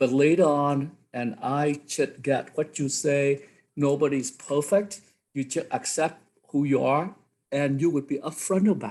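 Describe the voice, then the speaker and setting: A man with a Vietnamese accent, a fairly high pitch, ordinary pitch variation and a fairly slow pace. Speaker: college instructor. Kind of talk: workshop discussion. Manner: halting.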